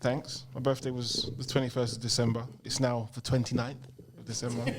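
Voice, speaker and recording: Over noticeable background noise, a man of medium pitch speaks at a fairly quick pace in a monotone, flat intonation with big swings in loudness. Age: 40s. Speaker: podcast co-host. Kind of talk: casual chat. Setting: studio with live audience.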